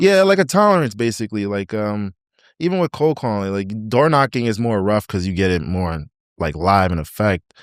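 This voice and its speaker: A man with a fairly low pitch and lively intonation speaks in an ordinary speaking voice, recorded very cleanly with a silent background and a dry, close sound with no echo. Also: fairly quick pace. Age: 20s. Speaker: real estate agent. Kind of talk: podcast interview answer.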